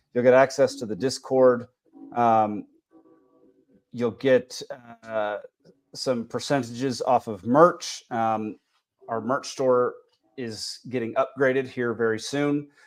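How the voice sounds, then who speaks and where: With music in the background, a man with an American accent talks very slowly in fairly even intonation. He pauses long and often. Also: medium pitch for a man. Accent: Texas accent, thicker when back home. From Texas. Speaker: podcast host. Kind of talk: casual podcast chat. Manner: halting, many fillers.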